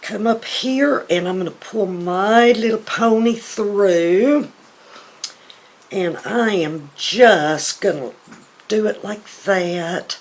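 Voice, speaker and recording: A woman with a Southern US accent speaks very slowly at a medium pitch, her pitch varying in an ordinary way over noticeable background noise. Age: 60s. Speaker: beauty vlogger. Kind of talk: tutorial. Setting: home. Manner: casual.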